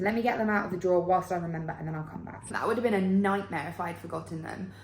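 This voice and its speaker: A woman with an English accent speaks in an animated tone, somewhat breathy and at a medium pitch, with audible room echo around her. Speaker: travel vlogger. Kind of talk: casual vlog to camera. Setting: outdoors walking. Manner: chatty, animated.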